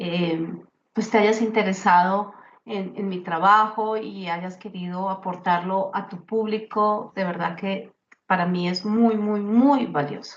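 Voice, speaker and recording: Very slow speech from a woman at medium pitch with fairly even intonation. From Colombia, Bogotá. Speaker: grief speaker and author. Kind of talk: interview testimony.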